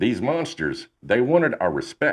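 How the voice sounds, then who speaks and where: In a Texan accent, a man delivers his lines in a dramatic tone. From Texas. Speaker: podcast host, storyteller. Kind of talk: narration of paranormal stories. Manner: conversational, dramatic.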